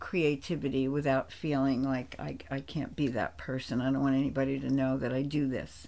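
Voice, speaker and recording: A woman's very deep, low voice with an American accent, dark and mellow in tone, fairly even in intonation, at a moderate pace. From New Jersey, East Rutherford. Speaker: theatre co-founder and producing director. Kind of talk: interview, personal history. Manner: hesitant fillers, conversational.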